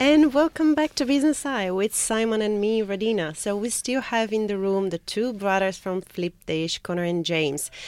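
At a moderate pace, a woman with a plain, everyday voice speaks at a medium pitch with lively intonation, in a dry, close sound with no echo. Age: 30s. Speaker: guest co-host. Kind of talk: radio interview. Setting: radio studio.

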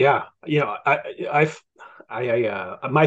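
A man with a plain, everyday voice, fairly high pitch, and a fairly slow pace, over a quiet background. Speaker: podcast host. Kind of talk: casual chat.

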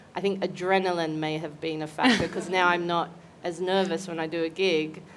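Talking at a very fast pace in an Australian accent, a woman with a fairly low pitch keeps a monotone, flat intonation amid audible room echo. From Australia, Newcastle NSW. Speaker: comedian. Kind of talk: casual chat. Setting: stage with audience.

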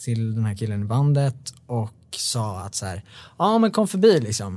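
In a very clean recording with a silent background, a man speaks fairly slowly with a dark, mellow tone at a medium pitch. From Sweden, Bålsta near Stockholm. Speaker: songwriter. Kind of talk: casual interview chat.

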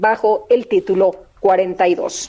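Lively intonation moves through a dark, mellow tone. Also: woman. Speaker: radio news co-host. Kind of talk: morning radio news show.

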